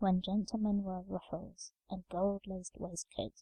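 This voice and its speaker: A soft-spoken woman talks in a calm tone at a moderate pace. The sound is dry and close, with no echo. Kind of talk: soft-spoken bedtime story reading. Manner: soft, calm, relaxing.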